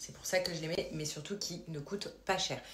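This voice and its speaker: A woman speaks at a fairly quick pace with fairly even intonation. Noticeable background noise and audible room echo are present. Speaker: lifestyle vlogger. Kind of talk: vlog with sponsored product pitch. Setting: at home at night. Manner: soft-spoken. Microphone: poor sound quality.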